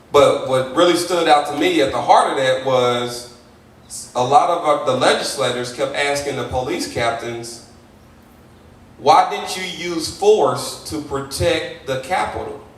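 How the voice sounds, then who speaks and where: A man with a fairly high pitch and ordinary pitch variation speaks at a fairly slow pace, with audible room echo and noticeable background noise. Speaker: panelist. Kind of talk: panel discussion. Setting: church event with audience, streamed online. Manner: loud.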